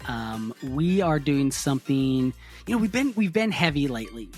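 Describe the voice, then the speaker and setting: Music plays behind a man speaking at a moderate pace. His pitch sits in the middle range. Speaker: podcast host. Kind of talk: podcast intro.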